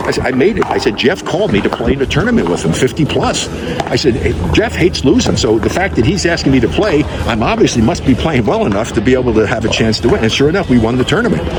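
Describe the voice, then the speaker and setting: An animated, very fast delivery in an American accent, with very wide pitch swings, very even loudness, hardly any pauses, and noticeable background noise. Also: man, medium pitch for a man. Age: 80s+. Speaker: retired basketball player and pickleball competitor. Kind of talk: interview answer. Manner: casual, animated storytelling.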